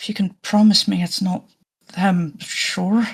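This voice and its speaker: A put-on character voice at a middle pitch, with monotone, flat intonation and a fairly slow pace. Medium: actual play. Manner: wary, guarded.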